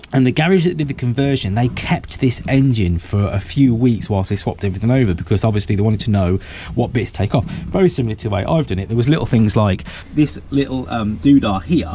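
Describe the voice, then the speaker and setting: Over noticeable background noise, a man with an English accent talks at a very fast pace in a medium pitch with lively intonation. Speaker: DIY mechanic and video maker. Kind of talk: casual vlog tutorial. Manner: rambling with fillers.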